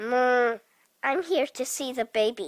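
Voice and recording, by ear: Recorded very cleanly with a silent background, a cartoonish character voice that sounds female uses a high pitch and a fairly slow pace.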